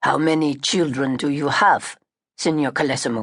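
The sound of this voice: A woman growls in a put-on character voice at a very deep, low pitch. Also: moderate pace, ordinary pitch variation.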